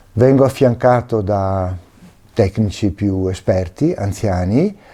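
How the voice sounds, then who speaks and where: A man talks in a dark, mellow tone. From northern Italy, Veneto (Alto Vicentino, Schio). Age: 60s. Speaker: retired oil well mining technician. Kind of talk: personal testimony.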